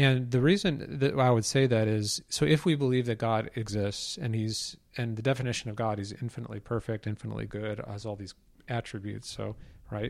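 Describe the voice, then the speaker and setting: In a very clean recording with a silent background, a man talks at a fairly quick pace in a normal speaking voice with ordinary pitch variation. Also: medium pitch for a man. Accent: American. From US Midwest, suburban Chicago. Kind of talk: casual theological discussion.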